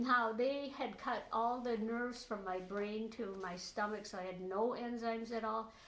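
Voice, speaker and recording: A fairly high-pitched woman at a fairly slow pace with ordinary pitch variation, amid noticeable background noise and audible room echo. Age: 70s. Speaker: interviewee sharing health recovery story. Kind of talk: interview testimony. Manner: halting, many fillers.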